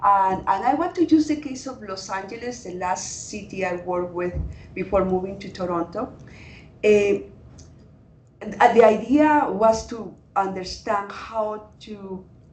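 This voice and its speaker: Speaking with a Latin American accent at a medium pitch, a woman talks at a fairly slow pace with ordinary pitch variation, long, frequent pauses and big swings in loudness. Noticeable background noise and audible room echo fill the recording. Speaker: climate adaptation researcher. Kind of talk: panel discussion.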